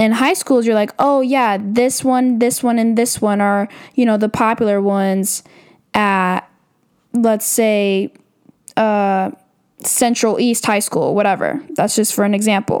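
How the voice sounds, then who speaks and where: The recording is very clean, with a silent background, as a woman speaks in an ordinary speaking voice. Her pitch is fairly high, her intonation fairly even, her loudness very even, and her pace fairly slow. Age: 20s. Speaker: podcast host, college student. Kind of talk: casual monologue.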